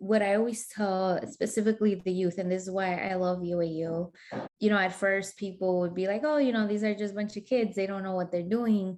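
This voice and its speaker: A woman talks at a fairly quick pace and a medium pitch. She has a slight Spanish accent. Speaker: community organizer. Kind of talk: interview. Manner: animated.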